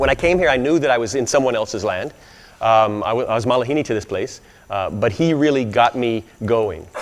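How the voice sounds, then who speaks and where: A man speaks with an American accent at a medium pitch, his pitch varying in an ordinary way. Noticeable background noise runs behind him. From US South, Arkansas. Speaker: Hawaiian studies scholar and speaker. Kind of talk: speech to an audience. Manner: halting, many fillers.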